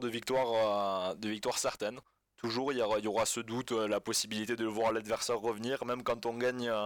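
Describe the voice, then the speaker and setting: A man is speaking at a medium pitch. His pace is moderate. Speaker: football fan. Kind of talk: casual chat. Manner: halting.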